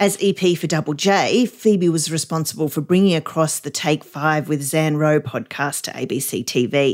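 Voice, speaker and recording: A woman's very deep, low voice at a moderate pace, with hardly any pauses and ordinary pitch variation. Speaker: radio news presenter. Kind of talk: news bulletin, scripted news reading. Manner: brisk, clear, even and businesslike.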